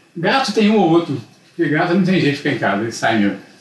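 A man's high-pitched voice comes through against noticeable background noise. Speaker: visiting grandfather. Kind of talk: casual chat.

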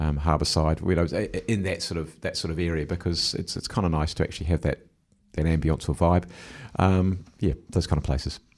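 At a fairly quick pace, a man with a very deep, low voice speaks with fairly even intonation over a quiet background. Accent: New Zealand. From New Zealand, Wellington. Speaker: mayor and election candidate. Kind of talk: radio interview. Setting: radio studio.

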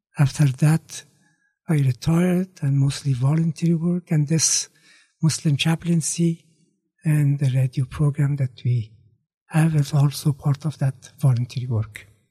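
Fairly slow, somewhat breathy speech in an Afghan accent, with a dark, mellow tone and very even loudness. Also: man, fairly high pitch for a man. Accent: Afghan (Dari-speaking) English. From Afghanistan, Kabul. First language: Dari (Farsi). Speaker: retired former government minister and radio producer. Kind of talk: interview, life story. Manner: halting, many fillers.

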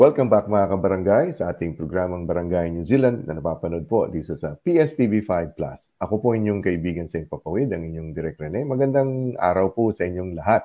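At a fairly quick pace and with hardly any pauses, a man with a very deep, low pitch speaks using lively intonation. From Philippines, Zamboanga, Mindanao. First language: Chabacano (speaking Tagalog). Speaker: community radio host. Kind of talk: interview; show announcement.

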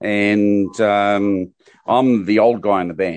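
A fairly low-pitched male voice against a quiet background. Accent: New Zealand. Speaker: punk band musician. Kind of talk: radio interview.

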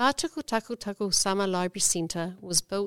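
A woman with a New Zealand accent is heard in a very clean recording with a silent background and a dry, close sound with no echo. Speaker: library team leader. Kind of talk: prepared talk.

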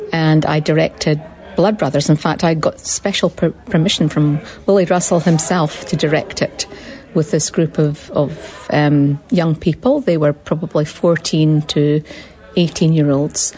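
A woman with a Scottish accent speaks fairly slowly in a very deep, low voice at very even loudness. Noticeable background noise is present. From Scotland. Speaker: theatre director. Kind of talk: interview.

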